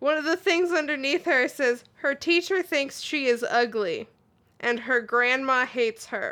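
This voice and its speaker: Projecting a raised voice, a woman speaks high and bright with a sharp tone, swinging very widely in pitch at a fairly slow pace. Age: 20s. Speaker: podcast co-host. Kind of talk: casual chat.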